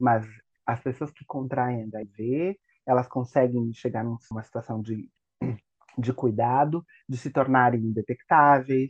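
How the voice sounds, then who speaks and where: Speaking at a very slow pace with long, frequent pauses, a man at a medium pitch keeps a fairly even intonation while his loudness swings widely. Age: 40s. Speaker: teacher. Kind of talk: casual chat.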